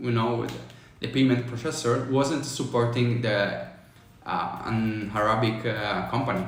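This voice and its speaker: A man with an Italian accent at a fairly slow pace and fairly even intonation, with noticeable background noise and audible room echo. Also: medium pitch for a man. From Italy. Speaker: business consultant, online business coach. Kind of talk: livestream talk on tax advice. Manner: halting, many fillers.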